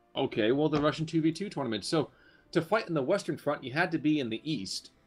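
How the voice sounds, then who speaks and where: Very fast, lively man's voice, fairly high in pitch, with music in the background. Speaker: game caster. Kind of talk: casual game commentary.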